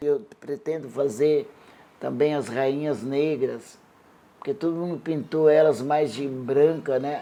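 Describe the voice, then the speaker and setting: Her pitch very deep and low, a woman talks at a very slow pace in a dark, mellow tone with ordinary pitch variation. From Paraná, southern Brazil. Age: 70s. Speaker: visual artist. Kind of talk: documentary interview.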